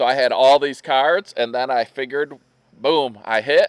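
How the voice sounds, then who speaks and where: A fairly high-pitched man with an American accent, dry and close with no echo, on a very clean recording with a silent background. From Michigan. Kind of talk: casual chat. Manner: animated.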